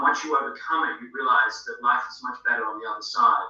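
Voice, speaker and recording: A man with an Australian accent keeps a fairly quick speed. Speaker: film director, actor and auctioneer. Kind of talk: casual interview answer.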